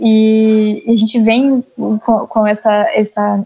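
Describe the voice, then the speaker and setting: In a monotone, flat delivery, a woman speaks at a fairly high pitch. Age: young. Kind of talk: interview.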